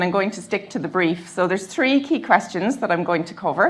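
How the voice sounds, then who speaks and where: A woman speaks with a Cork accent. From Ireland, Cork. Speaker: advocacy service manager. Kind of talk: conference talk.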